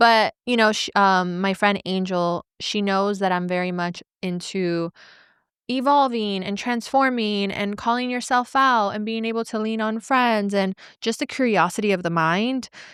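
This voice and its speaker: A woman speaks in a plain, everyday voice at a fairly slow pace with ordinary pitch variation. The recording is very clean, the background silent. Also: medium pitch for a woman. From Venezuela, moved to US at eight. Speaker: podcast host and entrepreneur. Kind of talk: casual interview chat.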